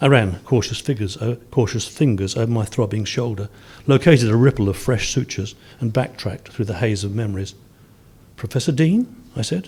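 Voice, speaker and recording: Somewhat breathy and dark, mellow in tone, this man talks at a fairly quick pace with a medium pitch. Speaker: short story writer. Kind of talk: reading aloud. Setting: stage with audience. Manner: occasional stutters and stumbles.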